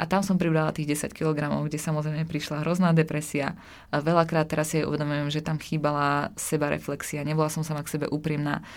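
In a very clean recording with a silent background, a woman with a very deep, low pitch speaks very fast in a flat monotone. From Slovakia, small village. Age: 20s. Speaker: nutrition student and fitness influencer. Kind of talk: interview.

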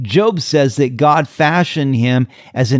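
In a very clean recording with a silent background and a dry, close sound with no echo, a man with an American accent uses a normal speaking voice at a medium pitch with lively intonation. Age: 60s. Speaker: pastor. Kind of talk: sermon. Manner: calm, measured.

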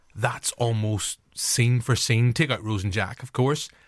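A man with a Northern Irish accent on a very clean recording with a silent background. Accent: Northern Irish (Belfast). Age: 40s. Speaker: podcast host. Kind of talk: casual chat.

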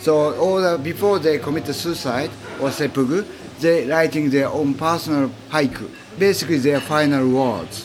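Against noticeable background noise, a man with a Japanese accent speaks at a moderate pace in a fairly high pitch with ordinary pitch variation. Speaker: author and travel industry professional. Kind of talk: interview. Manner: halting.

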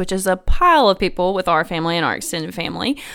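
Amid noticeable background noise, a woman with a medium pitch talks with a Tennessee accent and ordinary pitch variation. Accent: Southern American (Tennessee). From US South, Memphis, Tennessee. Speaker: financial counselor. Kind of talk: casual chat.

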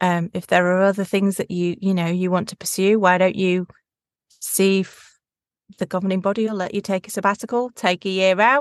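In an English accent, a woman talks at a fairly quick pace and medium pitch with an enthusiastic tone, recorded dry and close with no echo. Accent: regional English accent, toned down. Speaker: voiceover artist, former primary teacher. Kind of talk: interview, casual chat. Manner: enthusiastic, conversational.

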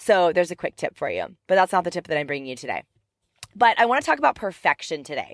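Speaking very fast at medium pitch, a woman sounds animated with very wide pitch swings, in a dry, close sound with no echo. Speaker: life and business coach, podcast host. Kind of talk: motivational monologue. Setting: in a car.

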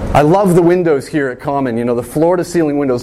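A man talks at a very fast pace with lively intonation. Noticeable background noise runs beneath him. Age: 30s. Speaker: pastor. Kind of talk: sermon.

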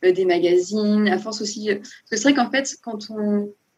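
A woman at medium pitch, somewhat breathy, keeping a moderate pace. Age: 20s. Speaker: nurse turned self-taught illustrator. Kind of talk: interview. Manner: enthusiastic, with frequent laughs.

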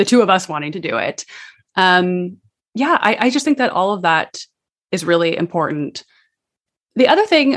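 The sound is dry and close with no echo, and the pitch varies in an ordinary way. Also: woman. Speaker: podcaster. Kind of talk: interview. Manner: fast.

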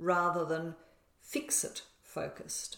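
At a very slow pace, a woman speaks in an Australian accent at a medium pitch. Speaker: podcast co-host, spiritual manifestation teacher. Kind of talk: casual conversational teaching.

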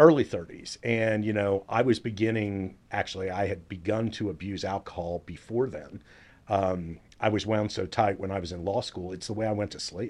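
Against a quiet background, a man with an American accent uses a plain, everyday voice at a fairly low pitch, speaking at a moderate pace with ordinary pitch variation and big swings in loudness. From Dallas, Texas. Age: 50s. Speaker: family law attorney and podcast host. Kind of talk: casual interview chat.

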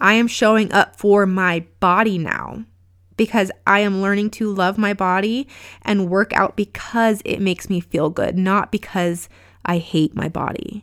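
A normal speaking voice from a woman, medium in pitch, fairly slow and fairly even in intonation, on a very clean recording with a silent background. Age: 30s. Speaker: podcast host and life coach. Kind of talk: pep talk. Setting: solo podcast recording. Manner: warm, earnest, encouraging.

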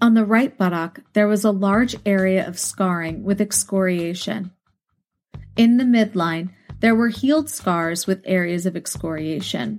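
A woman with an unremarkable speaking voice at a medium pitch, ordinary pitch variation and a fairly slow pace, on a very clean recording with a silent background. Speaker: true crime podcast host. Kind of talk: true-crime narration. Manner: grave, measured, clinical; even, steady reading of facts.

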